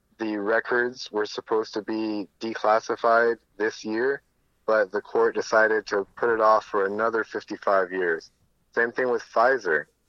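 A man with an American accent speaks fairly slowly in an ordinary speaking voice, his pitch medium and his intonation fairly even. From United States. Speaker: mechanical engineer, crypto investor. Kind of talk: interview.

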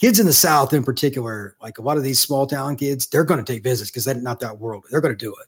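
Speaking at a very fast pace with hardly any pauses, a man with an American accent has a medium pitch, a somewhat breathy voice, ordinary pitch variation and big swings in loudness. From Indiana, US Midwest. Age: 50s. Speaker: college football recruiting analyst. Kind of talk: casual interview.

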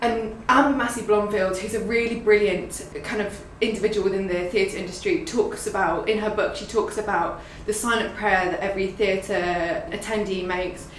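Amid noticeable background noise and audible room echo, a woman talks at a moderate pace with hardly any pauses and ordinary pitch variation. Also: medium pitch for a woman. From London. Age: 20s. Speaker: creative producer. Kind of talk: casual interview chat.

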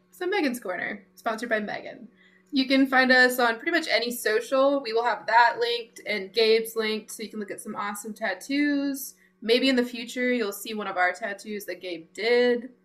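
Over music in the background, a woman speaks at a moderate pace and a fairly high pitch, with ordinary pitch variation and big swings in loudness. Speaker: podcast co-host. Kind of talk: casual interview chat.

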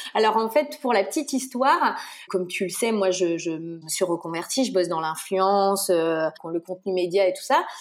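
A woman with a medium pitch speaks at a moderate pace with lively intonation. Noticeable background noise runs underneath. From Brittany, France. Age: 30s. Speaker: pediatric nurse and mother. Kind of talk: casual interview. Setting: remote call. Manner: chatty, hesitant with fillers.

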